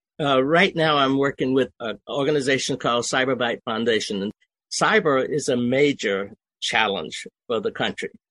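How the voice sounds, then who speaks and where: A man with a Southern US accent, medium pitch, lively intonation and a bright, sharp tone at a moderate pace, in a dry, close sound with no echo and a quiet background. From US South, Georgia swamp area. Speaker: army veteran, education advocate. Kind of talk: interview.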